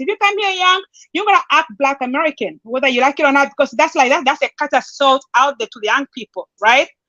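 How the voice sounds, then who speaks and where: Raised and projected, a woman's high-pitched voice moves at a very fast pace with lively intonation and a bright, sharp tone, the sound dry and close with no echo. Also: hardly any pauses. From southern Africa, Angola/Namibia. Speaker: panel guest. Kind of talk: casual discussion.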